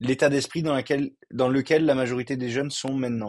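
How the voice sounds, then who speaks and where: The speaker is a man. His pitch sits at a medium level and his intonation is fairly even. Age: 20s. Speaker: physiotherapy student and clothing reseller. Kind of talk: casual interview. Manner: halting, many repetitions.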